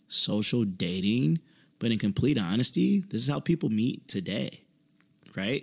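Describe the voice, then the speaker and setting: Over a silent background in a very clean recording, a man speaks at a fairly slow pace with vocal fry and very wide pitch swings. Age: 20s. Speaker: podcast host. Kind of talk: solo podcast monologue. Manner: animated.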